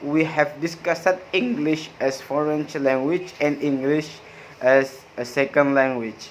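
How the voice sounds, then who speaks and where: Over noticeable background noise, a man with a Madura accent speaks at a fairly slow pace and a fairly high pitch. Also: ordinary pitch variation. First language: Madurese. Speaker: university student. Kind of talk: class review presentation. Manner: halting, frequent hesitations.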